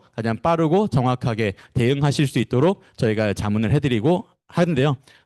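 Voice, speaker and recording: The sound is dry and close with no echo, over a quiet background. A man speaks at a fairly quick pace in a medium pitch. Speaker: corporate trainer. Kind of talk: lecture. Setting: seminar room with live online audience. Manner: fast; hesitant, many fillers.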